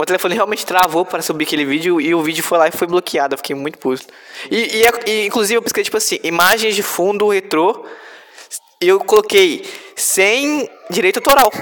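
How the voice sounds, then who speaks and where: Against noticeable background noise, a man talks at a fairly quick pace, high-pitched with lively intonation. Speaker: podcast host. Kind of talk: casual chat.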